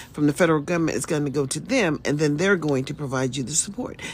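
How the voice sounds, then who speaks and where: Over a silent background in a very clean recording, a woman with a very deep, low pitch speaks with an American accent. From US South (Mississippi). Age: 60s. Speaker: livestreamer. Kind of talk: casual livestream monologue. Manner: rambling, conversational.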